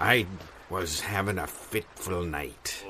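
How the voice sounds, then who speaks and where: With clear background noise behind him, a man puts on a character voice, very deep and low in pitch, at a fairly slow pace. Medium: audio drama. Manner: salty pirate slang.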